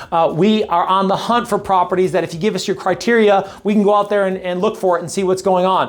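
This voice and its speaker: Words tumble out at a very fast pace with hardly any pauses, in an animated tone over a very clean recording with a silent background. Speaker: real estate agent. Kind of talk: market update monologue; sales pitch.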